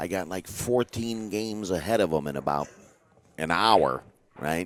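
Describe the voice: A man's low-pitched voice at a fairly slow pace, with ordinary pitch variation.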